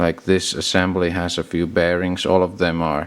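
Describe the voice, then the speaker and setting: Speaking fairly slowly with a non-native accent, a man has a very deep, low pitch. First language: not English. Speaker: car mechanic hobbyist. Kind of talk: tutorial. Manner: halting.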